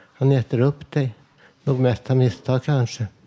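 A man's medium-pitched voice, flat and monotone, at a fairly slow pace, with a dry, close sound and no echo. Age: 50s. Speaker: poet reading own texts. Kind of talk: reading aloud. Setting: live broadcast with audience.

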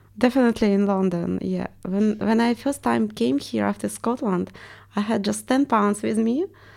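The recording is very clean, with a silent background. A woman with a Russian accent talks at a moderate pace. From Estonia (ethnic Russian). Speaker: artist and art teacher. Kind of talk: interview.

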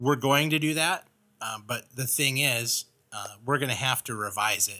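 In an American accent, a man with a medium pitch and a bright, sharp tone speaks at a moderate pace with ordinary pitch variation on a very clean recording with a silent background. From Los Angeles, US. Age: 40s. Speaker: ministry leader and tattoo artist. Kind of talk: podcast monologue.

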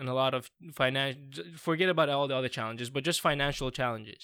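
A man speaks with an Iranian accent at a medium pitch and a fairly quick pace, his tone bright and sharp. His pitch varies in an ordinary way, and the recording is very clean with a silent background. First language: Farsi. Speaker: PhD researcher in parasport. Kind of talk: casual chat.

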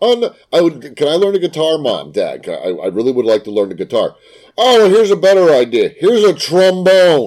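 A man talks at a fairly quick pace with a fairly high pitch. His pitch swings very widely, and his tone is slightly mellow.

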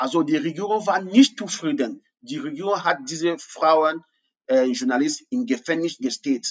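At a moderate pace, the voice makes very wide pitch swings, with a dry, close sound and no echo. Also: man, fairly high pitch for a man. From anglophone Cameroon. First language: English (speaking German). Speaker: refugee and university student. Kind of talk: interview. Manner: halting, many fillers.

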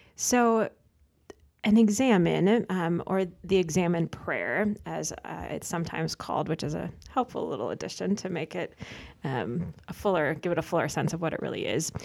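A woman's fairly low voice with vocal fry and lively intonation. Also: moderate pace. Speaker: religious sister. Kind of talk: casual chat.

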